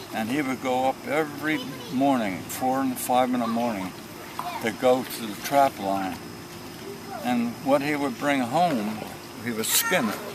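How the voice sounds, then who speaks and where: A man talks at a fairly slow pace, leaving long, frequent pauses, with ordinary pitch variation. Audible room echo and noticeable background noise surround his voice. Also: medium pitch for a man. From New Jersey. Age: 80s+. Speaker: elderly man recounting his life. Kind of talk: oral history interview. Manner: halting.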